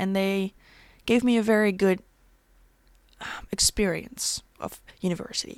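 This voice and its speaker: Speaking at a fairly slow pace with long, frequent pauses, a woman keeps a medium pitch and fairly even intonation while her loudness swings widely. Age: 20s. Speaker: podcast host. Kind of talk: casual monologue.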